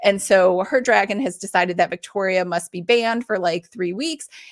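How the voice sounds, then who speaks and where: At a moderate pace and with ordinary pitch variation, the speaker comes through on a very clean recording with a silent background. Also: woman. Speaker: author and book club host. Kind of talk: live stream book club chat. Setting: live stream.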